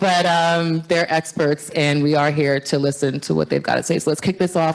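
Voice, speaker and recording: A woman with a very deep, low pitch, fairly even intonation, and a fairly quick pace. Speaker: panel moderator. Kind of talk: panel discussion. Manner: loud.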